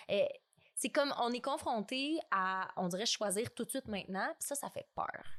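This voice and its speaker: In a Quebec accent, a woman speaks high in pitch with lively intonation at a moderate pace. The sound is dry and close with no echo, on a very clean recording with a silent background. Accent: Québécois French. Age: 20s. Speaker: podcast guest. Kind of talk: casual chat. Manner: animated.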